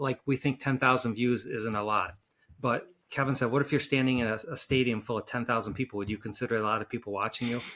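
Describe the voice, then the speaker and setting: A man's bright, sharp voice at a medium pitch, with fairly even intonation and a very fast pace. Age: 60s. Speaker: neurosurgeon podcast co-host. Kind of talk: casual interview chat.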